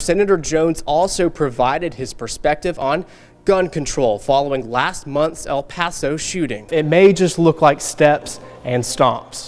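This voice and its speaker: A man with an American accent uses a normal speaking voice. He talks at a fairly slow pace in a fairly high pitch, with ordinary pitch variation. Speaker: student TV news reporter. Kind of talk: television news reporter reel.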